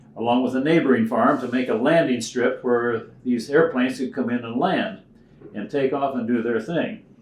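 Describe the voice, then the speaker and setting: A medium-pitched man with ordinary pitch variation at a moderate pace, noticeable background noise behind him. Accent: American. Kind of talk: interview answer.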